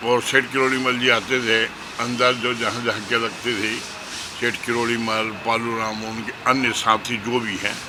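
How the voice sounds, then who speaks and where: Noticeable background noise sits behind this recording. A man speaks at a medium pitch with monotone, flat intonation. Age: 70s. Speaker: local elder. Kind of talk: interview reminiscence. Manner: halting.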